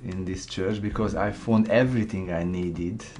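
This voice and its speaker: A man with a Hungarian accent at a moderate pace, fairly even intonation, and audible room echo. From Hungary. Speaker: graphic designer. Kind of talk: testimony. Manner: halting.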